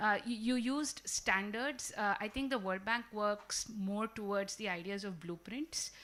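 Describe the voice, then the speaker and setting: A woman speaks loudly in a bright, sharp tone with fairly even intonation. The recording is very clean with a silent background. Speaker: panelist from a development bank. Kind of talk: panel discussion.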